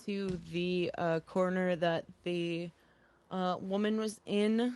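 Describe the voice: With fairly even intonation, the text comes across as plain reading aloud.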